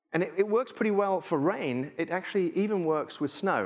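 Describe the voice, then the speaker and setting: A man with a strong English accent, speaking at a fairly quick pace. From England. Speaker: tech futurist speaker. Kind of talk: conference keynote talk. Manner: animated.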